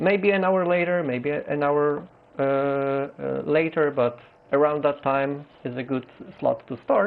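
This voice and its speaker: A man speaks with a Polish accent at a fairly slow pace. His pitch is fairly high, with ordinary variation. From Poland. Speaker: gaming streamer. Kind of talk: live game stream commentary. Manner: halting, many fillers.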